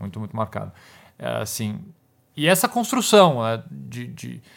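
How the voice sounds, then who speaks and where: A man's voice with vocal fry. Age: 40s. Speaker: criminal defense lawyer. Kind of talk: interview conversation.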